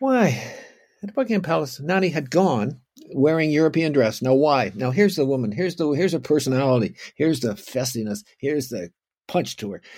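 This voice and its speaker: With a Canadian accent, a man talks at a moderate pace and medium pitch, his pitch swinging very widely. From Canada, Ontario (Oakville). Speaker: historian. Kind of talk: lecture. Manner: halting.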